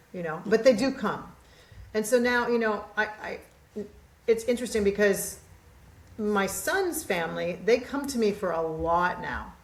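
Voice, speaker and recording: Over noticeable background noise, a woman with a fairly high pitch talks at a moderate pace in an animated tone, with ordinary pitch variation and long, frequent pauses. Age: 60s. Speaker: podcast guest, mindset coach. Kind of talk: casual chat.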